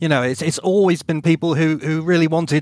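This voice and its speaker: With an English accent, a man with a fairly high pitch speaks at a fairly quick pace. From England (Bath). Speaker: podcast co-host and author. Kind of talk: casual chat. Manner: halting.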